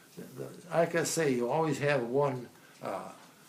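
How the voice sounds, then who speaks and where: Through audible room echo, a man with an American accent talks at a fairly quick pace and fairly high pitch. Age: 90s. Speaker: centenarian telling life story. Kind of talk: life story interview. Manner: halting.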